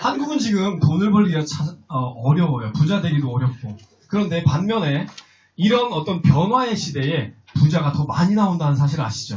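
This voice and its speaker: A man with a fairly high voice speaks with very wide pitch swings. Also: moderate pace. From rural Chungcheong, South Korea. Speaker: investment seminar presenter. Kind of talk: sales seminar talk to live audience. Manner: conversational, asks audience questions.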